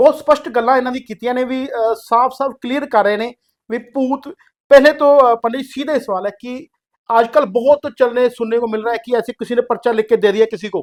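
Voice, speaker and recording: Moderate pace, with a Punjabi accent. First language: Punjabi (speaking Hindi). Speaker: podcast host. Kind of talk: interview. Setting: studio.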